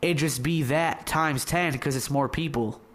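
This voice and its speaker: A man's ordinary speaking voice with an American accent, fairly high in pitch, at a moderate pace with fairly even intonation. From Michigan. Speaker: interviewer. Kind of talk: casual interview.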